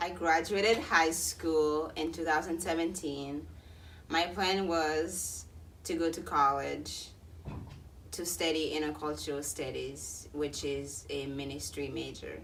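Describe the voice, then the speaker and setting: A fairly slow-speaking woman amid audible room echo. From Haiti. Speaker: vlogger. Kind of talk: casual vlog. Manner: hesitant, with fillers.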